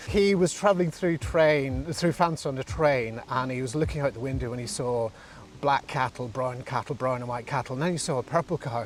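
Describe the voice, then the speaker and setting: Speaking at a fairly quick pace over noticeable background noise, a man uses a medium pitch with ordinary variation. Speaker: founder of a social enterprise. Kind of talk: interview. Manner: halting, with many fillers.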